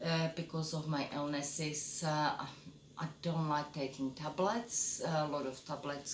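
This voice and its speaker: With a Czech accent and a very deep, low pitch, a woman speaks at a fairly slow pace amid noticeable background noise and audible room echo. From Czechoslovakia. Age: 50s. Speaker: photographer and vlogger. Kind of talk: casual self-introduction monologue. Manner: hesitant, many fillers.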